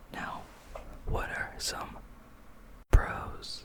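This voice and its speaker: A very slow whisper comes through over noticeable background noise. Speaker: ASMR creator. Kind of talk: educational ASMR explainer to camera. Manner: soft-spoken, whispered.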